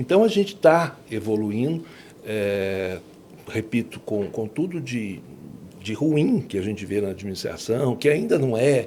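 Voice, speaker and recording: This man speaks with lively intonation. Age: 60s. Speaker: law professor. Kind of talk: podcast interview. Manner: hesitant, many fillers.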